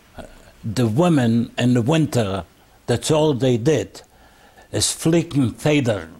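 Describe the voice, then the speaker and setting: A man at a very slow pace and medium pitch, somewhat breathy, with lively intonation, very even loudness, and long, frequent pauses. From Bessarabia (Eastern Europe). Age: 80s+. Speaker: Holocaust survivor. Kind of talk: testimony interview. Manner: halting.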